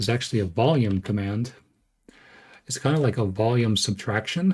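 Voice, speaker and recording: Somewhat breathy, a man talks with lively intonation at a medium pitch. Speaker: game code analysis streamer. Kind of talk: live stream tutorial. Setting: live stream. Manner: halting with many fillers.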